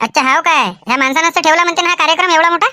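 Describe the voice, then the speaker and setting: A squeaky, cartoonish character voice rattles along at a very fast pace with very even loudness. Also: woman, extremely high pitch for a woman. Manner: chatty, inquisitive.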